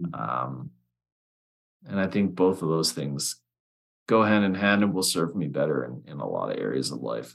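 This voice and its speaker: A man with a Canadian accent speaks in a very deep, low voice with vocal fry and lively intonation, leaving long, frequent pauses. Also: moderate pace. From Alberta, Canada. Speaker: copywriter and business founder. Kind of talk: casual chat.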